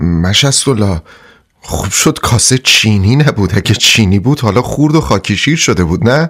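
A put-on character voice comes out hoarse and shaky, with very even loudness. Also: man, fairly low pitch for a man.

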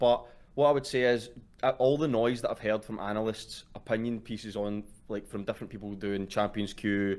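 A man speaks at a moderate pace in a fairly low pitch. His intonation stays fairly even. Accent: Glaswegian. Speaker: caller. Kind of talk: casual chat. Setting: online voice call.

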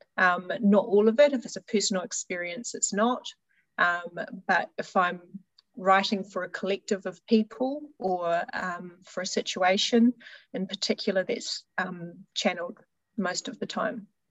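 A woman with an ordinary speaking voice talks at a moderate pace in a medium pitch, her pitch variation ordinary and her loudness swinging widely. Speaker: healer and spiritual teacher. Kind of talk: casual interview chat.

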